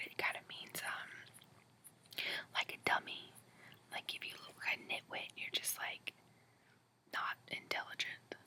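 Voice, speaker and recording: Someone whispers at a fairly slow pace, with long, frequent pauses. Noticeable background noise is audible. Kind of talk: casual talk to camera. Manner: whispered.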